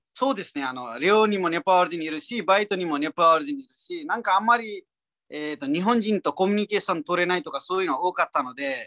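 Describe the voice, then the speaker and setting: The speaker has a Nepali accent. The pace is very fast. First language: Nepali (speaking Japanese). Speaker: comedian. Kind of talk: interview. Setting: pre-recorded audio.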